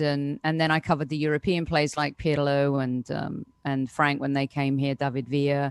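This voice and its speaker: In a British accent, a woman with a very deep, low pitch speaks in a flat monotone, dry and close with no echo, on a very clean recording with a silent background. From United Kingdom. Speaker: soccer reporter. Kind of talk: casual chat.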